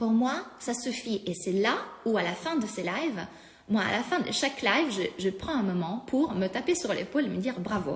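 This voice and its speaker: Over noticeable background noise, the speaker uses a non-native accent, moving at a moderate pace with very wide pitch swings. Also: woman, fairly high pitch for a woman. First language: not French (speaking French). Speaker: life coach. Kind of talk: live-stream talk to followers. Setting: live stream. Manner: halting, many fillers.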